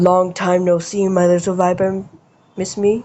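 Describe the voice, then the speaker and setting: A put-on character voice that sounds female comes through at a medium pitch. The intonation is monotone and flat. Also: moderate pace. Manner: mischievous, menacing.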